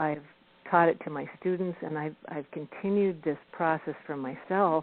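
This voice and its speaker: With a plain, everyday voice, a woman talks at a fairly slow pace and a fairly low pitch with ordinary pitch variation. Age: 60s. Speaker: golf professional and teacher. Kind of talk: radio interview.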